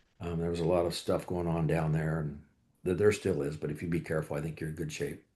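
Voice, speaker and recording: A man's very deep, low voice with a dark, mellow tone, very fast and monotone with flat intonation, over a quiet background. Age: 60s. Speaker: off-road racer. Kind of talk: panel discussion. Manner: casual.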